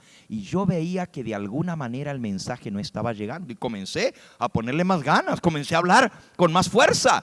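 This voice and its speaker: A man with a fairly high pitch talks at a fairly quick pace with very wide pitch swings and vocal fry, in a dry, close sound with no echo. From US (raised there, Spanish-speaking family). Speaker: preacher. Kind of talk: sermon.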